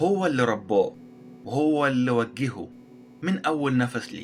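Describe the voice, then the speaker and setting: A man with an Egyptian accent at a fairly high pitch and a fairly slow pace, over music in the background. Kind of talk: educational history narration. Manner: simple, heartfelt.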